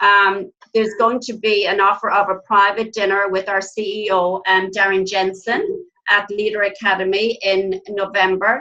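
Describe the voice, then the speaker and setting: A woman speaks in an Irish accent with a bright, sharp tone. Her intonation is monotone and flat. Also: medium pitch for a woman, moderate pace, hardly any pauses. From Ireland. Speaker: nurse and network marketing team trainer. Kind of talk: online team training presentation.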